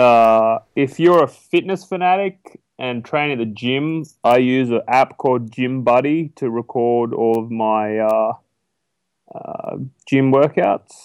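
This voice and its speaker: At a very slow pace, a man with an Australian accent speaks at medium pitch with ordinary pitch variation, in a dry, close sound with no echo. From Australia, rural New South Wales. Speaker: online business broker. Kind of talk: interview.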